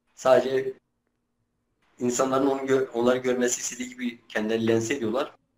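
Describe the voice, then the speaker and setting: A man's medium-pitched, monotone voice with flat intonation at a fairly quick pace, broken by long, frequent pauses. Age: 20s. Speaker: Kurdish-language YouTuber doing street interviews. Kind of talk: interview answers. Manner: hesitant, many filler sounds.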